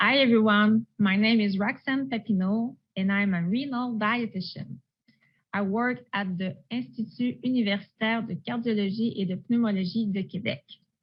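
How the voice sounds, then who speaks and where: A woman speaks with a Quebec accent at a fairly high pitch. Her voice is somewhat breathy, with ordinary pitch variation. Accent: French-Canadian accent in English. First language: French. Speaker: renal dietitian. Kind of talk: presentation. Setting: virtual conference. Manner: slow.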